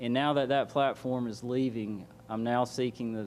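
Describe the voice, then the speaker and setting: He speaks with a Southern US accent at a medium pitch and a moderate pace. His intonation is monotone and flat. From US South, Georgia. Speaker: political candidate. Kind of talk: opening statement at candidate forum. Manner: halting.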